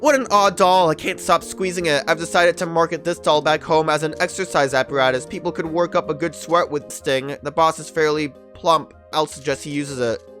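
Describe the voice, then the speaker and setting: Over music in the background, a man with fairly high pitch and ordinary pitch variation talks at a fairly quick pace with hardly any pauses. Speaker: let's play gamer. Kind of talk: reading game text aloud.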